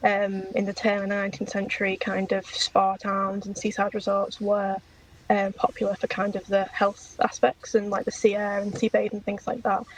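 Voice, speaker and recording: A woman speaks at a moderate pace with a slight Liverpool accent. Her intonation stays monotone and flat. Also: medium pitch for a woman. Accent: slight Liverpool twang. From England, Liverpool area. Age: 20s. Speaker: PhD researcher, podcast guest. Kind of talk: casual interview chat.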